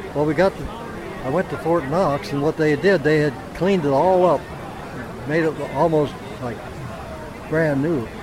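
Crowd noise fills the background as a man speaks at a moderate pace. His pitch is fairly high, and he leaves long, frequent pauses. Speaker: World War II veteran. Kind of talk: interview, anecdote. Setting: outdoors. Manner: animated.

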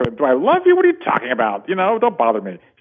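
Putting on a character voice, a man talks at a very fast pace with a fairly high pitch. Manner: irritated, brushing him off.

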